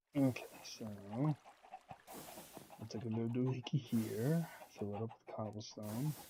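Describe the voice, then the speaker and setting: A soft-spoken, somewhat breathy, dark and mellow tone at a very slow pace. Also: man, medium pitch for a man, ordinary pitch variation. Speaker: gaming video creator. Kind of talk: gameplay commentary. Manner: casual with many fillers.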